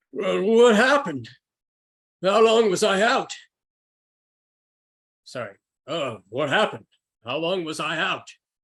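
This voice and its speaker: Putting on a character voice, a man speaks at a high pitch and fairly slow pace, with very wide pitch swings and long, frequent pauses. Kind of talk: hammy radio serial acting. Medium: actual play.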